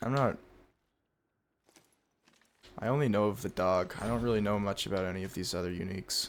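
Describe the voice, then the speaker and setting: Quiet and raspy, a man's put-on character voice comes at a fairly low pitch and a fairly quick pace. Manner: speaking quietly.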